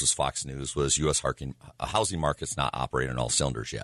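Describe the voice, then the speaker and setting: With vocal fry and fairly even intonation, a man talks at a very fast pace in a dry, close sound with no echo. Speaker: real estate professional. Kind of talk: casual chat.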